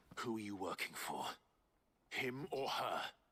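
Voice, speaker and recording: Using a raspy put-on character voice at medium pitch, a man speaks at a moderate pace in a calm, serious tone. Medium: video game. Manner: calm, measured, serious.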